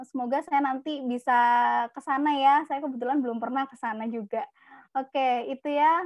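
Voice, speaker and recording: A woman's high-pitched voice at a fairly quick pace, dry with no echo, over a quiet background. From Indonesia (East Java). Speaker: psychology speaker. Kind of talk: webinar talk. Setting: video call. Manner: animated.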